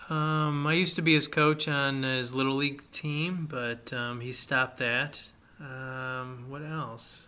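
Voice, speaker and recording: Bright and sharp in tone, a man with a fairly high pitch talks at a very slow pace with fairly even intonation and hardly any pauses. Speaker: podcast host. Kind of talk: casual chat. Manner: halting, many fillers.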